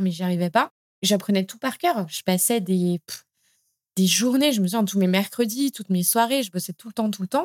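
A woman at a medium pitch and a fairly quick pace, with ordinary pitch variation and a plain, everyday voice, in a dry, close, very clean recording with no echo and a silent background. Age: 30s. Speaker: language school founder and author. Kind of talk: podcast interview.

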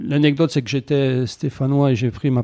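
A man speaks at a moderate pace with medium pitch and a dark, mellow tone. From France, Saint-Étienne. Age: 60. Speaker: former footballer turned lawyer. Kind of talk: interview. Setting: his office. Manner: hesitant, many fillers.

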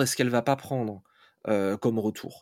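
The recording is very clean, with a silent background behind a man's speech. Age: 40s. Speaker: fantasy author. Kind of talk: interview. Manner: hesitant, many fillers.

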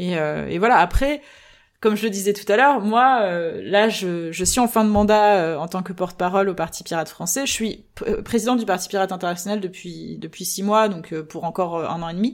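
A woman at medium pitch, a fairly quick pace, and ordinary pitch variation. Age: 30s. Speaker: political party spokesperson. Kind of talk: interview. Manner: hesitant with many fillers.

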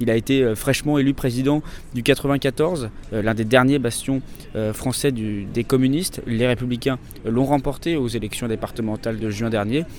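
A man's normal speaking voice at medium pitch, with fairly even intonation and a moderate pace. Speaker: podcast host and political journalist. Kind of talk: on-location reporting. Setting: outdoors at a political rally.

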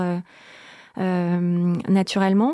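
A woman's voice, dark and mellow in tone, comes through on a very clean recording with a silent background. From southern France. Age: 40s. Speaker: business development manager. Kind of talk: interview.

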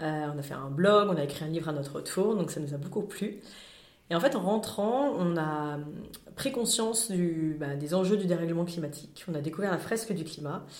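Audible room echo surrounds a woman speaking at a moderate pace with a fairly low pitch and lively intonation. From France, Lyon. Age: 40s. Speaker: climate awareness workshop founder. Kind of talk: interview. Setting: studio. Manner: hesitant, frequent fillers.

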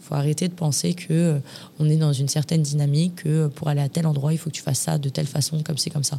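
Speaking at a fairly quick pace, a woman has a very deep, low pitch and a dark, mellow tone that is somewhat breathy. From Paris. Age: 20s. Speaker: influencer and former reality TV contestant. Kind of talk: casual interview.

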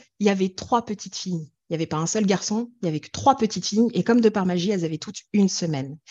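With lively intonation and a dark, mellow tone, a woman speaks in a dry, close sound with no echo over a quiet background. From France. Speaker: singing therapist and singer. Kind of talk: interview.

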